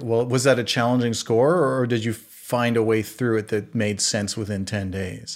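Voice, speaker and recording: Moderate pace and hardly any pauses, on a very clean recording against a silent background. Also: man. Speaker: podcast host. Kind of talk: interview conversation, casual. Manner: animated, talkative, friendly.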